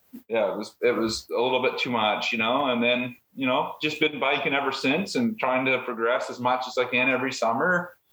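Spoken with hardly any pauses at a fairly quick pace, a plain, everyday voice shows ordinary pitch variation. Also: man, medium pitch for a man. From Nova Scotia, Canada. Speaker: mountain biker guest. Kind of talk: casual interview.

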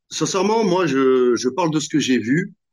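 Very slowly, a man with a fairly high pitch speaks, his voice making very wide pitch swings. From Normandy, France. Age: 40s. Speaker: entrepreneur, app founder. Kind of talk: interview. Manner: hesitant, many fillers.

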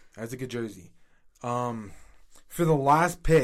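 Here a man with an American accent speaks at a medium pitch and a moderate pace. His tone is animated, with ordinary pitch variation. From Washington, D.C. area. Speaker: sports podcast co-host. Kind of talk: casual chat.

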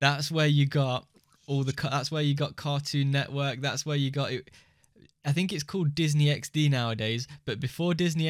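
A man speaks in an English accent at a fairly high pitch. The recording is very clean, with a silent background. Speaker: podcast co-host. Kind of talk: casual chat. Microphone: new mic he struggled to make sound good.

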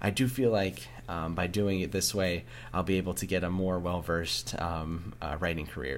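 A man's very deep, low voice with vocal fry, a moderate pace and ordinary pitch variation. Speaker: writing podcast host. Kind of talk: solo podcast update. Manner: casual with many fillers.

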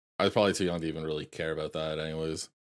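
A Canadian accent on a very clean recording with a silent background. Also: man. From Canada. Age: 20s. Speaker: podcast host. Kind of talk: casual chat.

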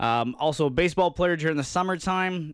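A man with a plain, everyday voice speaks in a Canadian accent at a fairly quick pace. His pitch variation is ordinary, on a very clean recording with a silent background. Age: 20s. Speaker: sports podcast host. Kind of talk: casual chat.

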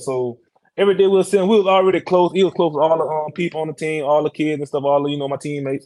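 A man talking at a very fast pace with a Louisiana accent and ordinary pitch variation. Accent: Louisiana Southern. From Louisiana (Iberville Parish). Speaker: NFL offensive lineman. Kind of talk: casual interview.

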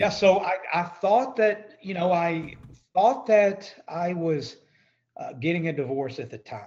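With a Texan accent, a man speaks at a moderate pace in a fairly high pitch. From East Texas. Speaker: credit repair business owner. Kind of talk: podcast interview.

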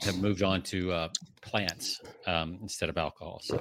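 This is a normal speaking voice with an American accent. The intonation is fairly even. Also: man. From US South, Georgia. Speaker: podcast co-host. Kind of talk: casual chat.

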